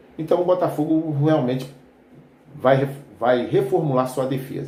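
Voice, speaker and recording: The voice has a relaxed tone, and audible room echo surrounds it. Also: man. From Rio de Janeiro suburbs, Brazil. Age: 60s. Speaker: football fan commentator, retired army veteran. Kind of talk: casual football commentary vlog. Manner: relaxed, conversational with frequent fillers.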